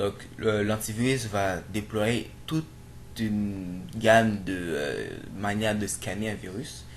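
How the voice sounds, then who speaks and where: A man talks with a non-native accent. His pitch varies in an ordinary way. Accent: non-native French accent, self-described. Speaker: programming tutorial youtuber. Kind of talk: screen-recorded tutorial. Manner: halting, many fillers and repetitions.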